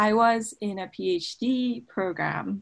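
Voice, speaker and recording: A woman with a Japanese accent speaks with lively intonation against a quiet background. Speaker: history professor and author. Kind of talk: academic interview conversation. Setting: remote call from office.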